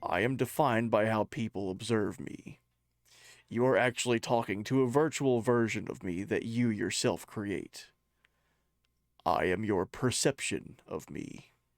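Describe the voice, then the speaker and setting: In a put-on character voice, a man speaks at a medium pitch and a moderate pace with a solemn tone. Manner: grand, solemn.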